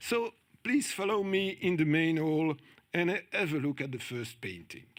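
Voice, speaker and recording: In a strong French accent, a man speaks at a moderate pace with a fairly high pitch and lively intonation. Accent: strong French-speaking accent in English. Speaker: conference speaker on journalism. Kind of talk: conference talk.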